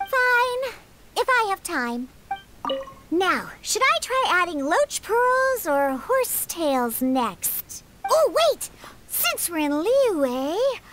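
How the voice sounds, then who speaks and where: In a put-on character voice, the speaker talks very slowly with very wide pitch swings. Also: woman, extremely high pitch for a woman. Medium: video game. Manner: blunt, tsundere.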